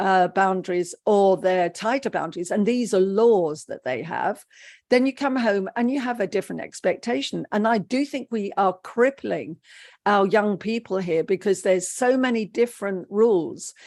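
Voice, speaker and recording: A woman with a British accent talks at a moderate pace in a medium pitch, her intonation lively and the background quiet. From England, raised by Polish parents. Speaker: psychotherapist. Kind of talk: interview.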